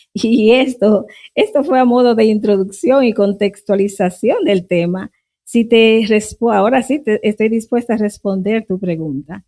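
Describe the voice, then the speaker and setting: Moving fairly slowly, the speech carries a dark, mellow tone with ordinary pitch variation. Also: woman, fairly high pitch for a woman. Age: 60s. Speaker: Bible teacher. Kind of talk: interview. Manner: formal.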